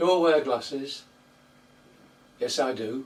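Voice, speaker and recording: The speaker talks at a fairly slow pace in a Yorkshire accent. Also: man. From Yorkshire, northern England. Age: 80s+. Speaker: allotment vlogger. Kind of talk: casual monologue answering tag questions. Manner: hesitant, repeats words.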